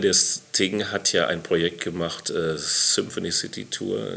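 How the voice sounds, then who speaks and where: The speaker is a man. He talks in a very deep, low pitch. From Hamm, Westphalia, Germany. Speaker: jazz musician. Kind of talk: casual interview. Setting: studio.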